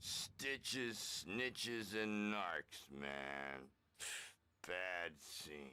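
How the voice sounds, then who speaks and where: A man puts on a character voice with a very deep, low pitch. He speaks at a very slow pace. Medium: video game. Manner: loud, hippie slang.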